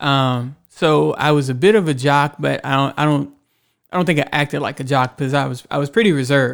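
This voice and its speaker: On a very clean recording with a silent background, a man with an American accent and a normal speaking voice talks fairly quickly at a fairly high pitch with ordinary pitch variation. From Houston, Texas. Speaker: writer. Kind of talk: casual chat. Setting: studio.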